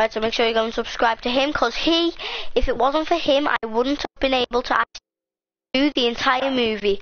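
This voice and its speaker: A woman speaks at a fairly quick pace. Her voice is high. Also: ordinary pitch variation. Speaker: YouTube gamer. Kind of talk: casual chat. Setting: home recording with live stream. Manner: rambling, animated.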